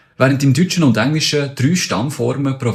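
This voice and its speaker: A man speaks in a Bernese accent, his voice somewhat breathy. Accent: Bernese Swiss German. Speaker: spoken word artist explaining language facts. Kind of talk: casual explainer.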